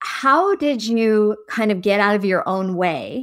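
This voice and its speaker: A woman's unremarkable speaking voice, fairly high with lively intonation, on a very clean recording with a silent background. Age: 40s. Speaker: podcast host. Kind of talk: casual interview chat.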